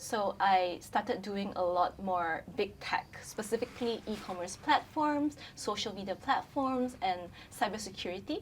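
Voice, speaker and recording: With a Chinese accent, a woman talks at a fairly slow pace, her medium pitch carried by lively intonation. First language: Mandarin Chinese. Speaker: brand communications specialist. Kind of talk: casual chat.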